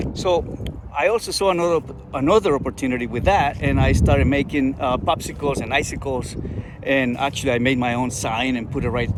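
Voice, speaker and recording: With noticeable background noise, the speaker talks at a fairly quick pace with ordinary pitch variation. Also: man. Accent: Spanish. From Colombia. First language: Spanish. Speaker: entrepreneur and engineer. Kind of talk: personal storytelling vlog. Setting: outdoors in a park. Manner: halting, with repetitions.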